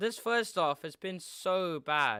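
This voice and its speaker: A man mumbles in a bright, sharp tone. The recording is very clean, with a silent background. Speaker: football fan streamer. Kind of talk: live watchalong commentary. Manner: mumbling.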